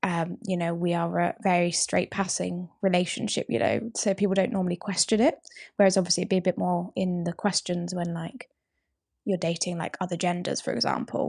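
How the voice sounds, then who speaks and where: A woman with vocal fry speaks at a fairly quick pace and fairly low pitch, with ordinary pitch variation, on a very clean recording with a silent background. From England, Milton Keynes, half Yorkshire. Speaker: podcast co-host. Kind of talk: casual chat.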